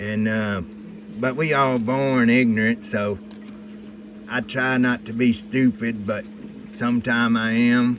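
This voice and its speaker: Speaking with an American accent, a man holds a medium pitch in monotone, flat intonation at a very slow pace. Long, frequent pauses break up his speech, with noticeable background noise. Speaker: precious metals hobbyist. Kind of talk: casual chat. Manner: halting.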